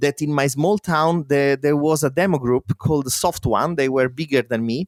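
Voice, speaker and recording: The voice has an Italian accent and ordinary pitch variation, captured in a dry, close sound with no echo. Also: man. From Italy. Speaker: demo coder and musician. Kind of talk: interview. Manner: halting.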